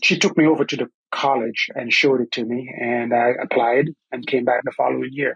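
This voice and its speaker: A man with a Caribbean accent talks at a medium pitch and a fairly quick pace, with ordinary pitch variation. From Antigua and Barbuda. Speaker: construction training director. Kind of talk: podcast interview.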